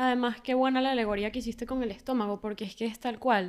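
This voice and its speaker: In a very clean recording with a silent background, a woman with a fairly high pitch uses an ordinary speaking voice with fairly even intonation. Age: 20s. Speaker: podcast co-host. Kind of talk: casual chat.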